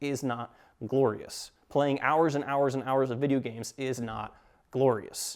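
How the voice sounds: Fairly level intonation in a natural reading voice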